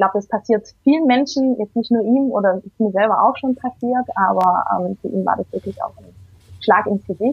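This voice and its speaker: Somewhat breathy and fairly high, a woman's voice moves at a moderate pace with ordinary pitch variation. Her loudness swings a lot. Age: 30s. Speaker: single mother. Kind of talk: interview.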